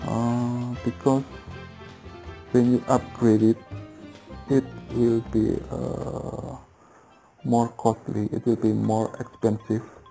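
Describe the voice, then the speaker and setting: A man's very slow, fairly even delivery with long, frequent pauses and faint music in the background. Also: medium pitch for a man. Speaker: game tutorial creator. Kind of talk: game tutorial talk. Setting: headset microphone. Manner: hesitant, many filler sounds. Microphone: headset.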